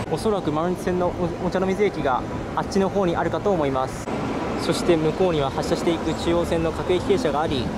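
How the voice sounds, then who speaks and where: Loud background noise fills the recording. A man speaks over it at a fairly quick pace with ordinary pitch variation. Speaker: railway video creator. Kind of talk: explanatory commentary while filming. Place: street. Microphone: phone near.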